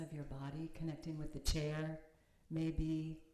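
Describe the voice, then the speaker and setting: With an American accent, a woman talks at a fairly slow pace in a very deep, low pitch and a dark, mellow tone. Audible room echo surrounds her voice. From United States. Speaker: minister and meditation teacher. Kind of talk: sermon; guided meditation. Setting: chapel with audience, streamed on video call. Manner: halting. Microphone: too quiet for online listeners.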